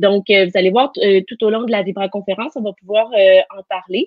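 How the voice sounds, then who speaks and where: Her pitch is medium, and the woman's voice shows ordinary pitch variation. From Quebec, Canada. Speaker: NLP coach and teacher. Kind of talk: live interview.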